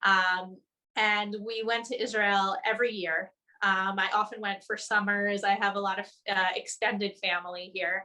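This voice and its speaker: In a New Jersey accent, a woman speaks at a medium pitch with a bright, sharp tone. Her intonation is monotone and flat. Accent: American (New Jersey). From New Jersey, US. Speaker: journalist. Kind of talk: webinar interview.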